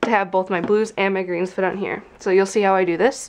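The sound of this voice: At a moderate pace, a woman with a medium pitch speaks in a nasal voice.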